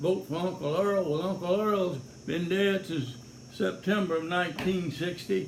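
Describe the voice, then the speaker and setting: In a Louisiana accent, a man speaks at a high pitch with audible room echo. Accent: Louisiana Southern. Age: 70s. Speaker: sheriff's deputy and political candidate. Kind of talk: campaign video monologue. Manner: folksy, halting with fillers.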